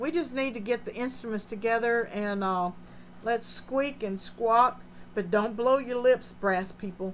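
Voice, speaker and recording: A woman with an unremarkable speaking voice, fairly high pitch, ordinary pitch variation and a fairly slow pace. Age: 60s. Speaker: aquarium hobbyist live streamer. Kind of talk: live stream chat, reading comments. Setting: home fish room.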